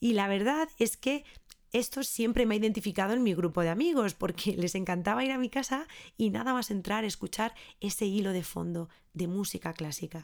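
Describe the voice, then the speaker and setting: A woman at medium pitch, lively in intonation and fairly quick, on a very clean recording with a silent background. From Spain, Ávila. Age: 30s. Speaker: podcast host and early music educator. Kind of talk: scripted monologue.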